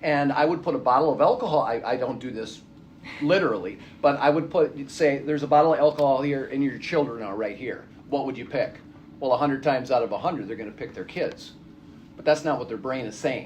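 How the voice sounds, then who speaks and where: A very fast male voice, fairly high-pitched, with ordinary pitch variation, big swings in loudness and audible room echo. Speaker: addiction counselor. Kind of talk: lecture.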